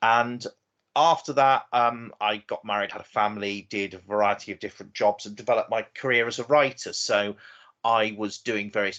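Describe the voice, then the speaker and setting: In an English accent, this bright, sharp-toned voice goes at a moderate pace with ordinary pitch variation over a quiet background. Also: man. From southern England, Oxford. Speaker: novelist. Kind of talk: interview.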